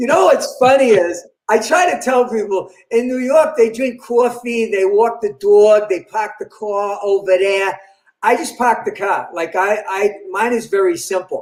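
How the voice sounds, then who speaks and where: A man with a Boston accent talks at a fairly slow pace. His voice is high-pitched for a man, with ordinary pitch variation. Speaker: comedian. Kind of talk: interview, casual storytelling.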